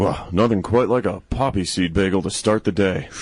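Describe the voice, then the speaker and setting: A man uses a put-on character voice with a fairly low pitch. His pace is moderate and his intonation fairly even. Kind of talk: comic villain overacting. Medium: comedy sketch.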